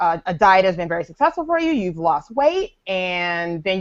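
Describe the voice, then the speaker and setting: A woman's plain, everyday voice in an American accent, medium in pitch, moderate in pace, with ordinary pitch variation. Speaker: personal trainer and fitness blogger. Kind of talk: casual chat.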